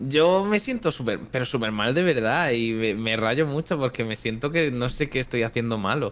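A plain, everyday voice moves at a moderate pace with lively intonation and hardly any pauses. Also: man, medium pitch for a man. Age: 20s. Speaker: YouTuber. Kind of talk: casual chat.

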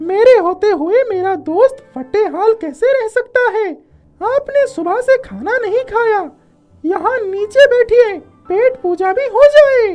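Someone performs a put-on character voice at a fairly slow pace. Faint music plays in the background. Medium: read story. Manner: warm, grateful, friendly.

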